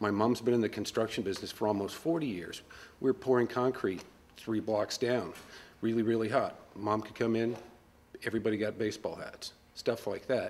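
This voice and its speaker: This man's medium-pitched voice moves at a fairly quick pace with fairly even intonation. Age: 40s. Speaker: customer. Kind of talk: interview.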